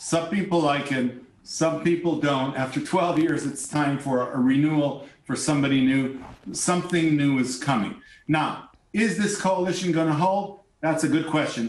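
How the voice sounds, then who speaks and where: A man with a fairly high pitch, ordinary pitch variation and a moderate pace, plus audible room echo. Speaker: venture capitalist and former politician. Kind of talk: news interview.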